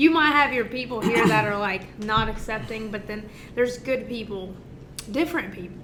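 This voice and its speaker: Amid noticeable background noise and audible room echo, a woman speaks at a moderate pace with fairly high pitch and ordinary pitch variation. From Mexico City, raised in Georgia, US South. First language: Spanish. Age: 30s. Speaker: business owner. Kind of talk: casual chat.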